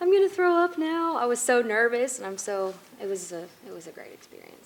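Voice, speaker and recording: Over noticeable background noise, a woman talks very fast at a high pitch, with very wide pitch swings and big swings in loudness. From East Tennessee. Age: young. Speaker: country singer. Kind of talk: interview. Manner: animated.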